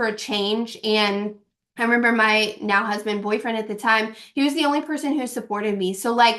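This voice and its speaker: A woman with a slight Kentucky accent speaks in a fairly high pitch with fairly even intonation. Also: quiet background. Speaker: network marketing distributor. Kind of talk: team call talk. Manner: casual, filler-heavy.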